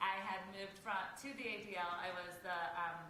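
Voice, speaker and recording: A woman speaks at a medium pitch. There is noticeable background noise and audible room echo. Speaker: nonprofit deputy director. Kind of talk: talk to an audience.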